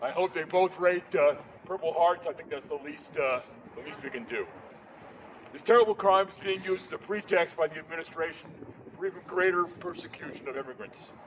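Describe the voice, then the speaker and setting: A man's high-pitched voice, fairly quick, with ordinary pitch variation, big swings in loudness and noticeable background noise. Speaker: war veteran. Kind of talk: rally speech. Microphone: no microphone.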